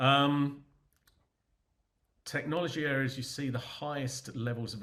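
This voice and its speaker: A man speaks with an English accent. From England. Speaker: business consultant. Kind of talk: webinar Q&A. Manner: halting, many fillers.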